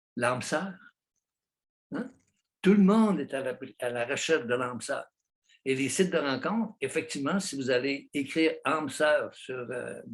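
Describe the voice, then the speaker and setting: The intonation here is lively. Speech comes at a fairly slow pace, with long, frequent pauses. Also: man. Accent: Quebec. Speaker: psychologist, author. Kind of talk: interview answer. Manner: passionate.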